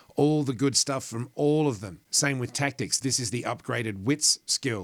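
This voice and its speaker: Speaking with an Australian accent, a man keeps a moderate pace and ordinary pitch variation. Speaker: gaming YouTuber. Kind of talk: game guide commentary. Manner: animated.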